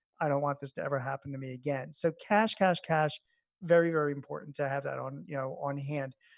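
A man's unremarkable speaking voice, fairly high and fairly quick, with fairly even intonation in a dry, close sound with no echo. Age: 50s. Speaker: small business expert and columnist. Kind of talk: interview. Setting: remote call from home.

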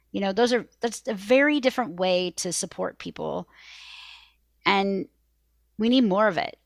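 The speaker keeps a moderate pace with ordinary pitch variation. Long, frequent pauses break up the speech on a very clean recording with a silent background. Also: woman, medium pitch for a woman. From US Pacific Northwest, Seattle. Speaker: parent coach. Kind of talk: interview.

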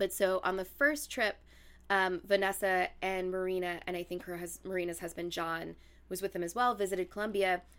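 A woman with a medium pitch talks at a fairly quick pace with fairly even intonation, in an unremarkable speaking voice. The recording is very clean, with a silent background. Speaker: podcast host. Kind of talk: casual chat and storytelling.

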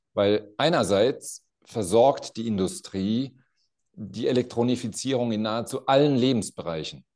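With a normal speaking voice, the speaker talks at a fairly slow pace with ordinary pitch variation. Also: man. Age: 50s. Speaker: company CEO. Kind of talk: interview conversation.

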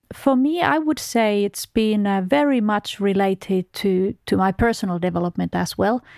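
In a Finnish accent, a woman at medium pitch speaks at a moderate pace with lively intonation, hardly any pauses and very even loudness, in a dry, close sound with no echo on a very clean recording with a silent background. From Finland. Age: 40s. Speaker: oil company executive. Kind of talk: interview. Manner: hesitant, many fillers.

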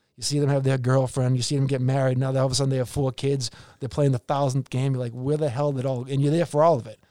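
A man with a Boston accent speaks at a very fast pace with hardly any pauses. His medium-pitched voice has a dark, mellow tone and monotone, flat intonation. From Boston area, Massachusetts. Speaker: hockey executive and former player agent. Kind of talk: casual interview.

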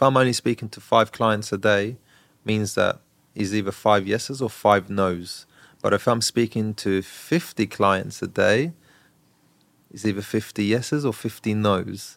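The recording is very clean, with a silent background. A man speaks at a fairly slow pace with a fairly low pitch and fairly even intonation. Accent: southern English. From southern England, Brighton. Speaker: real estate broker. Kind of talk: interview.

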